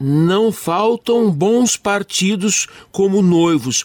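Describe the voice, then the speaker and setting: The recording is dry and close, with no echo. A man speaks in a high pitch with lively intonation. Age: 50s. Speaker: radio host. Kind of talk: radio interview.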